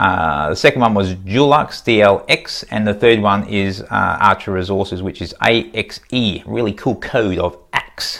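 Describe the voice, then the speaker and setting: A man with an Australian accent talks at a fairly slow pace with hardly any pauses. His pitch is fairly low, with ordinary variation. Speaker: stock market YouTuber. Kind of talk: casual vlog commentary. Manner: casual, hesitant with fillers.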